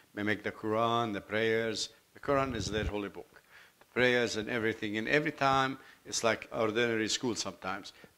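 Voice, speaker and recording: Speaking fairly quickly with a Lebanese accent, a man keeps a medium pitch, a bright, sharp tone and fairly even intonation. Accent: foreign accent (Lebanese). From Lebanon, Beirut. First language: Arabic. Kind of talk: testimony. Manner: halting, self-correcting.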